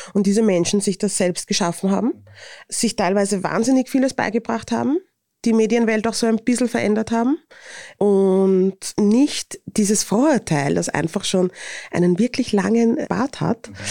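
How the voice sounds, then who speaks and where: A woman with a Viennese accent speaks at a moderate pace and medium pitch, her dark, mellow tone showing ordinary pitch variation and very even loudness. The recording is very clean, with a silent background and a dry, close sound with no echo. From Vienna, Austria. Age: 30s. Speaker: influencer and author. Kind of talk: interview.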